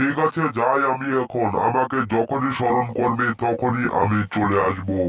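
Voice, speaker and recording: A man speaks in a cartoonish character voice at a moderate pace. His pitch sits in the medium range. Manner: gentle, benevolent.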